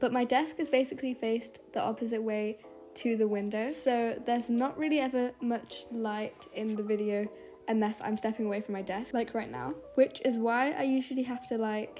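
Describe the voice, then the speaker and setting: With music in the background, a woman speaks quietly at a moderate pace, her fairly high pitch showing ordinary variation. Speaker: art youtuber. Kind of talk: voiceover narration. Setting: bedroom. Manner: sometimes sounds bored. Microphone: muffled sound.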